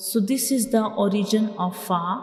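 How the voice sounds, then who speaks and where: Music plays behind a woman speaking at a very slow pace. Her pitch is medium and her intonation fairly even. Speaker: Quran teacher. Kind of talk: online Quran lesson, teaching Arabic letters. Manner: slow, clear, repetitive.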